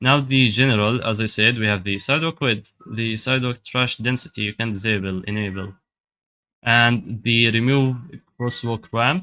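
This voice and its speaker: A man with a non-native accent speaks at a moderate pace in a bright, sharp tone. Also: medium pitch for a man, ordinary pitch variation. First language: not English. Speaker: addon developer. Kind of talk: software tutorial. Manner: casual, hesitant with fillers.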